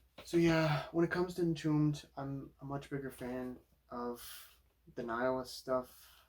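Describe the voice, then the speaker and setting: Quiet and fairly even in intonation, a man speaks at a medium pitch. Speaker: vinyl collector YouTuber. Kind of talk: casual record collection review. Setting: home at night. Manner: quiet, low-key.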